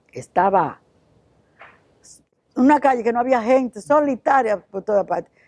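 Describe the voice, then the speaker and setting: Lively in its intonation, this dark, mellow voice moves along at a moderate pace. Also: woman. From Dominican Republic, Santiago. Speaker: missionary. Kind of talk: testimony. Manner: halting.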